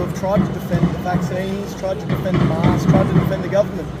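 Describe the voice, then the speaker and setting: A loud voice with an Australian accent races along at a very fast pace, with audible room echo and noticeable background noise. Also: man. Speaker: street protester. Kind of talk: casual interview.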